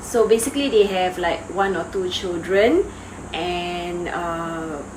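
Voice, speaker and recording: Amid noticeable background noise and audible room echo, the speech moves at a very slow pace with ordinary pitch variation. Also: woman. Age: 40s. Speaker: vlogger. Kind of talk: casual vlog chat. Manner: hesitant, with fillers.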